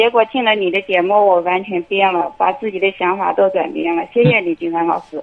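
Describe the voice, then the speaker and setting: Speaking in a plain, everyday voice at a medium pitch, a woman talks at a fairly quick pace with ordinary pitch variation and hardly any pauses. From Anhui, China. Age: 40s. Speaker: caller. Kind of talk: call-in advice conversation. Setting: phone call.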